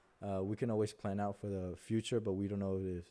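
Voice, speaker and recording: In a Spanish accent, a man with a fairly low pitch and a dark, mellow tone speaks with monotone, flat intonation on a very clean recording with a silent background. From Mexico. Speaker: content creator. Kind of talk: tutorial. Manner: halting.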